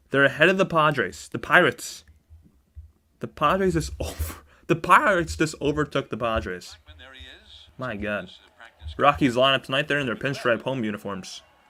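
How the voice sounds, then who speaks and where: A man with a medium pitch speaks at a moderate pace in a bright, sharp tone with vocal fry, very wide pitch swings, and long, frequent pauses. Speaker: sports streamer giving live commentary. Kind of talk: live play-by-play commentary.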